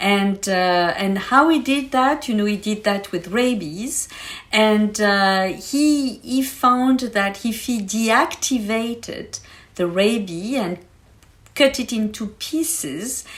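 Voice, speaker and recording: A somewhat breathy, fairly high female voice with a French accent, lively intonation, and a very slow pace. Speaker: science expert guest. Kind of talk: podcast interview, explaining science. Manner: hesitant, many fillers.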